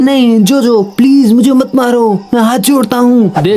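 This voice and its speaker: A put-on character voice sits at a fairly high pitch. Light background noise is present. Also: moderate pace. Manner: pleading, begging for mercy.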